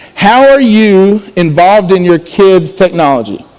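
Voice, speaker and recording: A man speaks loudly in a high voice. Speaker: student pastor. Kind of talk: sermon.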